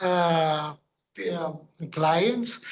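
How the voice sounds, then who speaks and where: Audible room echo surrounds a man speaking with a Greek accent. His pitch is high. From Greece. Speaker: regulatory consultant and medical doctor. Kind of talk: workshop presentation. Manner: halting, many fillers.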